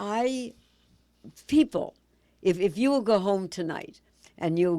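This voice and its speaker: A woman's dark, mellow voice in an American accent, with very wide pitch swings. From Massachusetts, near Boston. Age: 80s+. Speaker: motivational speaker and actress. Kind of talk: interview. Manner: animated.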